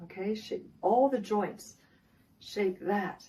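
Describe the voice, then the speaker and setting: Somewhat breathy, a woman talks at a fairly slow pace in a medium pitch with a dark, mellow tone and ordinary pitch variation. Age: 60s. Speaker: wellness coach. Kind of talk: tutorial.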